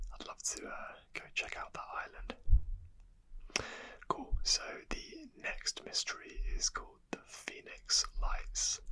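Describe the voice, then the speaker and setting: Someone whispers in a relaxed tone at a very slow pace, with long, frequent pauses. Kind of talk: ASMR history narration. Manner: whispered; soft-spoken, relaxed.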